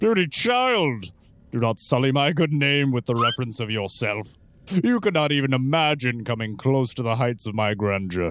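At a medium pitch, a man puts on a character voice. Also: moderate pace. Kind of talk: grandiose villain acting. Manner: pompous, condescending, silky persuasive.

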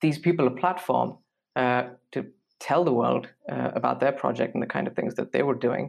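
Vocal fry runs through this man's medium-pitched voice. He moves at a fairly quick pace with ordinary pitch variation. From India. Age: 20s. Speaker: design graduate and podcaster. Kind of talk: casual interview chat. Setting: remote call. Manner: hesitant with many fillers.

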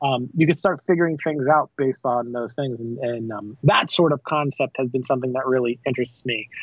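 This man has an unremarkable speaking voice with an American accent, medium pitch and ordinary pitch variation. He talks at a fairly quick pace with hardly any pauses. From South Florida. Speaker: filmmaker and online video creator. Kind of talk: casual interview chat. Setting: remote call.

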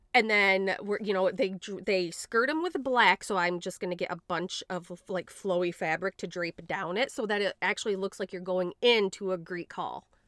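The recording is very clean, with a silent background and a dry, close sound with no echo. A woman speaks at a moderate pace and medium pitch with ordinary pitch variation and hardly any pauses. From Grand Rapids, Michigan. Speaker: podcast host. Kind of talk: casual chat.

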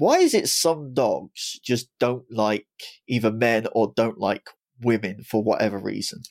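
This man talks at a fairly slow pace. The sound is dry and close, with no echo. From England. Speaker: podcast host. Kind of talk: interview conversation.

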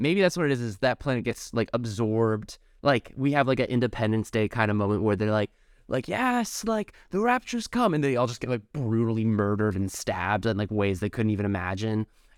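In a normal speaking voice, a man talks at a fairly quick pace and medium pitch, with ordinary pitch variation. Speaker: podcast host. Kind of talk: casual comedic chat. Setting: remote call between coasts.

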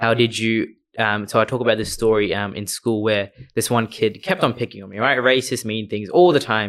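The recording is very clean, with a silent background, and a man speaks in an Australian accent. His pitch is medium with ordinary variation, and his pace is fairly quick. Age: 20s. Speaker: community advocate. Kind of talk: casual chat.

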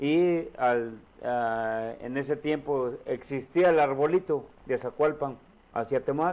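A man speaks very slowly in a fairly high voice with ordinary pitch variation. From Morelos, Mexico. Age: 50s. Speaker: politician. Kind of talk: casual interview over drinks.

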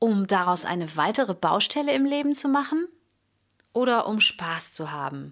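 A woman's fairly high voice at a moderate pace, with very wide pitch swings, on a very clean recording with a silent background. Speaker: vocal coach and singer. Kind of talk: solo podcast monologue on singing.

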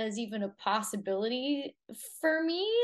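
A woman talks at a fairly slow pace and a fairly high pitch. She has a plain, everyday voice. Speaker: fitness coach. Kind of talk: interview.

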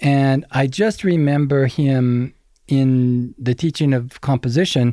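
An unremarkable speaking voice, this man's sits at a medium pitch with fairly even intonation. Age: 60s. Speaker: audio engineer and re-recording mixer. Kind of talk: interview. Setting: mix room studio.

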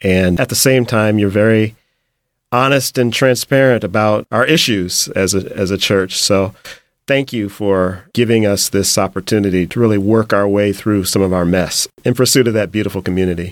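A man at fairly low pitch and moderate pace, loudness very even, on a very clean recording with a silent background. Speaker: podcast host and book editor. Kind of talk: interview. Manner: warm, enthusiastic.

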